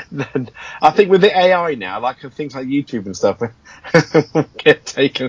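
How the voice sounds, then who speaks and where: Speaking in an English accent, a man uses a fairly high pitch with very wide swings. His pace is fairly slow, with long, frequent pauses. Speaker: podcast co-host. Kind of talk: casual chat.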